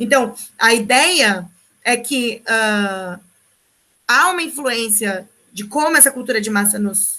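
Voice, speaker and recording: A woman speaks with a bright, sharp tone and lively intonation at a fairly high pitch. Her pace is very slow, broken by long, frequent pauses. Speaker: sociology teacher. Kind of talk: online lecture.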